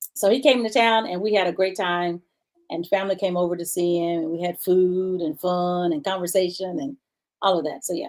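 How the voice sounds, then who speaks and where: This woman has a plain, everyday voice at a medium pitch, talking at a fairly quick pace with ordinary pitch variation. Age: 60s. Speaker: talk show host. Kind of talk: casual chat.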